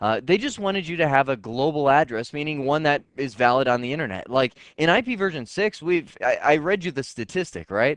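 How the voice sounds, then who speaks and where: A fairly high-pitched man speaks with lively intonation in a dry, close sound with no echo over a quiet background. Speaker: networking instructor. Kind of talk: lecture. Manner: fast.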